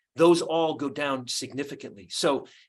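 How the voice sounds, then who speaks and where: Over a quiet background, a man talks at a moderate pace in an ordinary speaking voice. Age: 60s. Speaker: nutrition researcher. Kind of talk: call presentation. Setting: group call.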